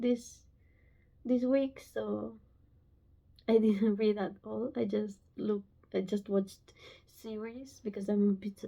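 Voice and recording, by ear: Slow and nervous in tone, a woman speaks at a medium pitch with vocal fry.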